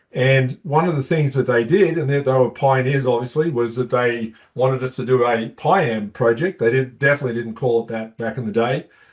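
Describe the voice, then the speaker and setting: The speaker has an Australian accent and a fairly quick pace with hardly any pauses. Pitch variation is ordinary. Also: man, medium pitch for a man. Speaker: company co-founder. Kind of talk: webinar presentation. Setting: online webinar.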